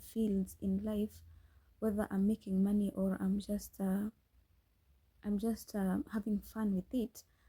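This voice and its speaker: In a Kenyan accent, a woman speaks at a fairly slow pace with a medium pitch and a dark, mellow, somewhat breathy tone. The sound is dry and close, with no echo. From Kenya, Nyeri. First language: Kikuyu. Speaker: podcast host, scriptwriter. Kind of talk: casual chat. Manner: halting, frequent restarts.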